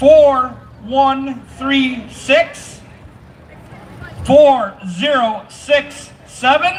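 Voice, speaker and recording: Against noticeable background noise, a man speaks at an extremely high pitch with ordinary pitch variation. His pace is very slow, broken by long, frequent pauses. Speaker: event emcee. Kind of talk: crowd announcements. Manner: loud; animated.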